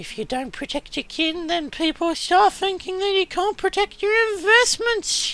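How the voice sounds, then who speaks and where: A put-on character voice at an extremely high pitch moves at a fairly slow pace. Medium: game stream. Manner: shrewd, businesslike.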